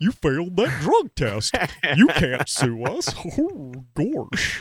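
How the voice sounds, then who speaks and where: At a very slow pace, someone speaks in a put-on character voice at a middle pitch. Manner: goofy, cartoonish.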